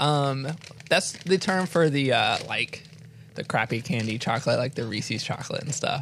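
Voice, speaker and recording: With noticeable background noise behind him, a man with a fairly high pitch talks at a moderate pace and ordinary pitch variation. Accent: American. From US South, North Carolina. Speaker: podcast host. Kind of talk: casual chat. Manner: halting, many fillers.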